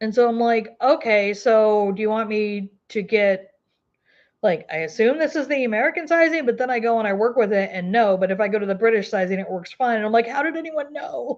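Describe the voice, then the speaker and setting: Lively intonation carries the words along at a fairly quick pace. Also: woman, fairly high pitch for a woman, quiet background. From US South, Arkansas Ozarks. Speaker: crochet YouTuber. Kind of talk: casual livestream chat. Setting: livestream. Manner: casual, filler-heavy.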